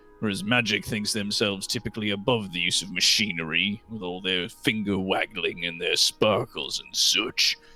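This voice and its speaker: Putting on a character voice with a fairly low pitch, a man talks at a moderate pace with hardly any pauses while faint music plays in the background. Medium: actual play. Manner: gruff, blunt, says aye often.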